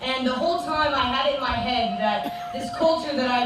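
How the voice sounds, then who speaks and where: A high-pitched woman talks at a moderate pace with ordinary pitch variation, amid noticeable background noise and audible room echo. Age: 20s. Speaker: train-hopping traveler, hobo queen candidate. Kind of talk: candidate speech.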